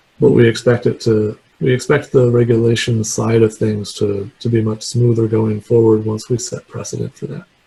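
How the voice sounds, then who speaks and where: The man's voice has a dark, mellow tone and is somewhat breathy. He speaks at a moderate pace with medium pitch and fairly even intonation. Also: hardly any pauses. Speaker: guest lecturer, remote sensing scientist. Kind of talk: lecture; Q&A answer.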